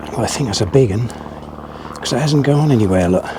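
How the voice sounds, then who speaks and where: Amid noticeable background noise and audible room echo, a man talks at a fairly quick pace and medium pitch with lively intonation. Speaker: angler vlogger. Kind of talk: live commentary while fishing. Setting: outdoors at a fishing lake. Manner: casual, chatty; loud.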